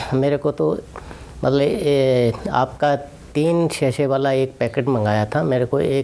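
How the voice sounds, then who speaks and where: Over noticeable background noise, a man talks at medium pitch with ordinary pitch variation and very even loudness. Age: 60s. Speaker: patient giving testimonial. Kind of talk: testimony.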